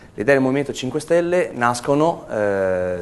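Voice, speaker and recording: A man speaks at a moderate pace. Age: 30s. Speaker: political candidate. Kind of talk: campaign statement to camera. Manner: hesitant, with filler sounds.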